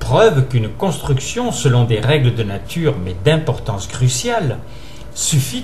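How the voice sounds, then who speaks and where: There is noticeable background noise as a man talks. His pitch is medium and his pace fairly slow. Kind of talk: reading a philosophical essay aloud.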